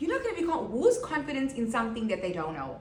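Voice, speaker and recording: Audible room echo and noticeable background noise surround a woman whose voice is fairly high. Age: 30s. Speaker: podcast host. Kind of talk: motivational monologue. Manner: casual, conversational.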